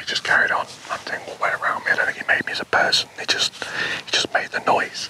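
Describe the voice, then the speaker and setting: A man whispers at a fairly quick pace. Noticeable background noise can be heard. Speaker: wildlife photographer vlogger. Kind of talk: casual vlog narration to camera. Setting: outdoors at dusk. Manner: hesitant, many fillers and repeats; quiet, keeping voice down.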